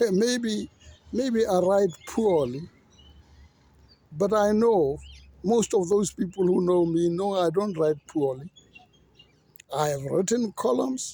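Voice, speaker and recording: A high-pitched man at a very slow pace, with long, frequent pauses. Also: lively intonation. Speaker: commentator, former journalist. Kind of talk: monologue rant. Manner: animated.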